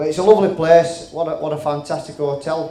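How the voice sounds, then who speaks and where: A man with a Yorkshire accent talks at a fairly high pitch with fairly even intonation, and the room echo is audible. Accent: Yorkshire accent, noticeable. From West Yorkshire, Halifax. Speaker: comedian. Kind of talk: stand-up. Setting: stage with audience.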